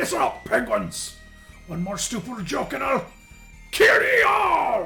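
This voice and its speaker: Clear music plays in the background as a man uses a put-on character voice. He talks at a fairly slow pace. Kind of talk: pirate speech. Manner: tough, threatening.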